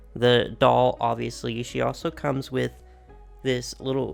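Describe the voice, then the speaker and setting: A man's upbeat voice at a fairly slow pace, with music in the background. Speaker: doll collector youtuber. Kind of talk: unboxing video. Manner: casual, upbeat.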